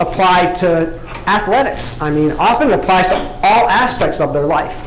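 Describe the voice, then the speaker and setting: At a moderate pace, the voice comes through light background noise and audible room echo. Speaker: motivational speaker. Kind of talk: motivational talk to an audience. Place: hall.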